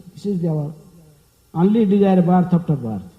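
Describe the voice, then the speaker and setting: With audible room echo, a man speaks in a high pitch with a dark, mellow tone. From India. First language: not English. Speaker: monk lecturer. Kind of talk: lecture. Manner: fast; hesitant fillers.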